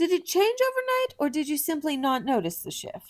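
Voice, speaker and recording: In a squeaky, put-on character voice, the speaker moves at a moderate pace with very wide pitch swings. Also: woman. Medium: game stream. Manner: stiff, formal, condescending.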